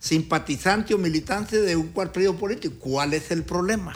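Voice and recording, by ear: A man with a high pitch, a fairly bright tone, lively intonation and a moderate pace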